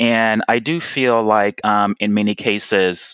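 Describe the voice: A man with an American accent, fairly low pitch, and a clear, smooth, fairly bright tone at a slow pace, in a dry, close sound with no echo. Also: fairly even intonation.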